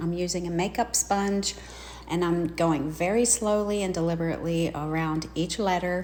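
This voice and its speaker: A woman with a Southern US accent talks at a fairly quick pace in a fairly low pitch, with ordinary pitch variation. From US South. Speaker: craft video creator. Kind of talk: tutorial narration. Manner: casual, chatty.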